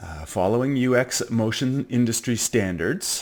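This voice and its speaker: With lively intonation and a moderate pace, a man talks in a plain, everyday voice. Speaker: teacher. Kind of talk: tutorial. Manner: casual, filler-heavy.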